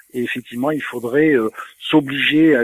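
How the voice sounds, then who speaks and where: Recorded dry and close with no echo, a man with a Provençal accent speaks at a fairly quick pace in a flat monotone. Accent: southern French (Provence). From southern France, Toulon. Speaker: software company CEO. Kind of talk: interview.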